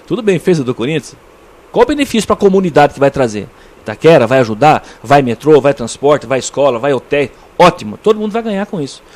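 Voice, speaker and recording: A man talks at a very fast pace in a fairly high pitch. His voice makes very wide pitch swings. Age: 60s. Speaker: interview guest, local community figure. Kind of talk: radio interview. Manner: halting, many repetitions.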